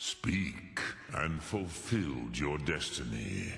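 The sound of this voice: Using a put-on character voice, a man pitches his speech very deep and low. His delivery is very slow.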